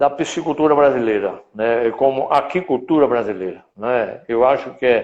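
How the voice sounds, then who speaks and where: Hardly pausing, a man with a strong northeastern Brazilian accent speaks at a moderate pace and medium pitch, with ordinary pitch variation and very even loudness. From Brazilian Northeast, Rio Grande do Norte. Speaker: veterinary council president. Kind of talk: live stream interview. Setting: online live stream.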